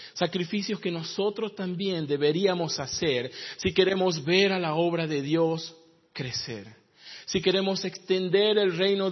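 The man's pitch is high and his intonation lively. He speaks fairly slowly. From northern Argentina, Jujuy. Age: 30s. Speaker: pastor and missionary. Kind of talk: sermon. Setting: church.

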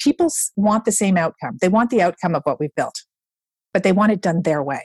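Somewhat breathy and animated, a woman speaks with lively intonation in a dry, close sound without echo. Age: 50s. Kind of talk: casual chat.

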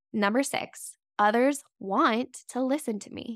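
A woman with a high pitch and an animated tone, speaking at a fairly slow pace with ordinary pitch variation, on a very clean, dry, close recording with no echo and a silent background. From US West, Las Vegas. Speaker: podcast host, brand strategist. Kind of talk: solo podcast monologue.

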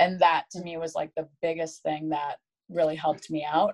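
Her fairly low-pitched voice moves along at a moderate pace as the woman talks. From Michigan, US Midwest. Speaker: former college soccer player. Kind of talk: interview.

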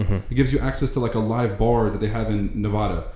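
A man speaks at a very fast pace with an Arabic accent. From Lebanon, moved to US at nine. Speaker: NFT investor and trader. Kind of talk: casual chat.

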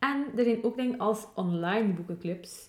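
Woman with ordinary pitch variation over noticeable background noise. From West Flanders, Belgium. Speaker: podcast co-host. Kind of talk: casual chat.

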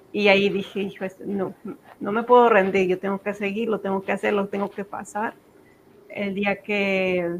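A woman at a medium pitch, speaking at a fairly slow pace. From Mexico (Zacatecas), born in Texas. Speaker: entrepreneur, business owner. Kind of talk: interview.

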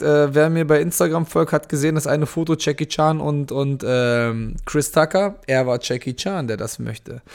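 At a moderate pace, a man talks in an unremarkable speaking voice, fairly high in pitch. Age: 30s. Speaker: podcast host and MMA fighter. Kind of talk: live Q&A monologue. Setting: Instagram live stream. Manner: casual, many fillers.

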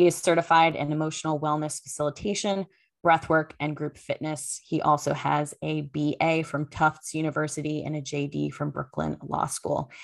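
Speaking at a moderate pace, a woman with a very deep, low pitch keeps a monotone, flat intonation on a very clean recording with a silent background. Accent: American. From Connecticut. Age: 30s. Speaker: podcast host. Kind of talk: casual chat.

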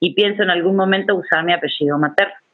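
A woman at a very fast pace, fairly low in pitch, with ordinary pitch variation. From Uruguay. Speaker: feminist educator / workshop facilitator. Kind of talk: online workshop lecture. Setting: video call.

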